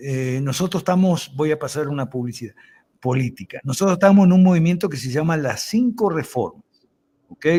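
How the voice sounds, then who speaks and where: Speaking at a fairly quick pace, a man uses a fairly high pitch and a dark, mellow tone. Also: lively intonation. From Argentina. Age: 70s. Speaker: lawyer and political commentator. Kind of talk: interview.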